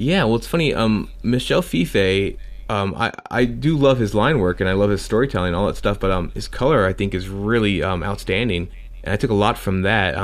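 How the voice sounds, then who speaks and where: A man talks at a fairly quick pace in a normal speaking voice. His pitch is fairly low with ordinary variation. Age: 40s. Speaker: comic creator and musician. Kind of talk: casual interview chat. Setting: call with host.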